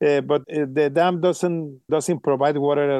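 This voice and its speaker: A man's fairly high, dark, mellow voice with a Mexican accent and fairly even intonation, in a dry, close sound with no echo and a quiet background. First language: Spanish. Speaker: water policy researcher. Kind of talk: interview. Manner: halting, many fillers.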